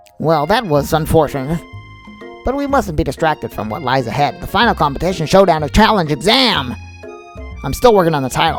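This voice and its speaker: A put-on character voice at a middle pitch, talking at a fairly quick pace over clear background music. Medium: game stream. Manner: formal, professorial.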